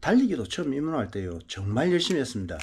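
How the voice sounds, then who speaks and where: The recording is very clean with a silent background. A man's voice moves through very wide pitch swings. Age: 60s. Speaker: marathon running vlogger. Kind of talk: casual vlog talk.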